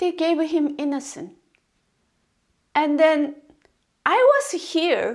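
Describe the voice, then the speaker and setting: A woman speaks at a very slow pace with a non-native accent. Her pitch is high. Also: very clean recording, silent background. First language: not English. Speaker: video blogger. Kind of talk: casual monologue commentary. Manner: halting.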